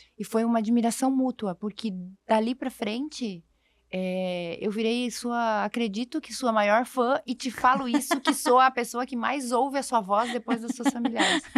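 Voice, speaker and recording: A woman's high-pitched voice at a fairly slow pace, with ordinary pitch variation, on a very clean recording with a silent background and a dry, close sound with no echo. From Brazil, interior of a southern state. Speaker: podcast co-host. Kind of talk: casual conversation.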